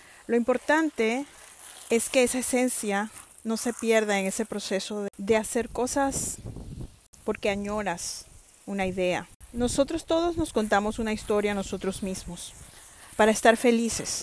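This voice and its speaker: A woman talks at a fairly slow pace with long, frequent pauses. Her voice is fairly high, with ordinary pitch variation. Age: 50s. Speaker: author and motivational podcaster. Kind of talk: motivational monologue.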